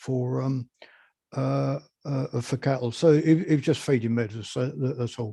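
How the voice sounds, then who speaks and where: A man speaks in a dark, mellow tone at a medium pitch. His voice is somewhat breathy, with fairly even intonation. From southern England, West Sussex. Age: 70s. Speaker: beekeeper. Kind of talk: interview. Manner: halting, many fillers.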